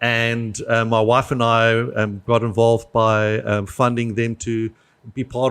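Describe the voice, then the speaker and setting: A man's medium-pitched voice in a South African accent, fairly even intonation, dry, close sound with no echo and a quiet background. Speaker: nonprofit business development manager. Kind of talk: podcast interview. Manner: hesitant, many fillers.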